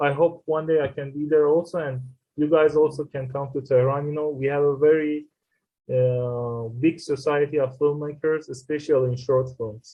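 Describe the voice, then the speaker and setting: A man's fairly high pitch with monotone, flat intonation at a moderate pace. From Iran. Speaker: filmmaker and screenwriter. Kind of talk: interview. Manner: halting.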